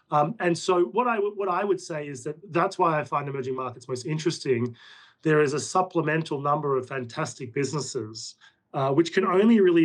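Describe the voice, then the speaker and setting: Fairly high male voice with an Australian accent, ordinary pitch variation and a fairly quick pace. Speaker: portfolio manager. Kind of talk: interview.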